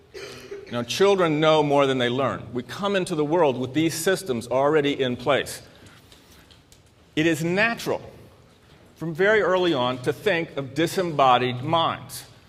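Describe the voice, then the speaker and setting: With an American accent, a man speaks at a moderate pace and a fairly high pitch. Long, frequent pauses break up his speech. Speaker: psychiatrist and convention speaker. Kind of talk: lecture. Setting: stage with audience. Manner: halting, repeats words.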